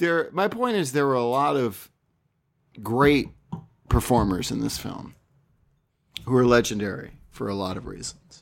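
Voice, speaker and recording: A man's normal speaking voice at medium pitch, with lively intonation and a fairly slow pace. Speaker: film podcaster. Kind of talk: casual banter. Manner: joking, teasing.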